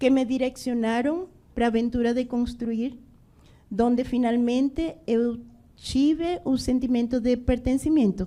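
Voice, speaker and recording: A woman speaks at a high pitch with a Spanish accent. Her tone is dark and mellow, and her pitch variation is ordinary. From Venezuela, Bolívar. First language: Spanish (speaking Portuguese). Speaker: restaurant entrepreneur. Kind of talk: panel discussion.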